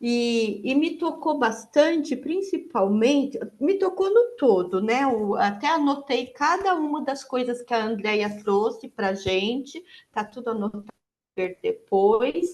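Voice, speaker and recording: The speaker is soft-spoken, at a very slow pace. The pitch swings very widely. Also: woman, high pitch for a woman. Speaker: participant in online psychodrama session. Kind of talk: testimony. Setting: video call. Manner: halting.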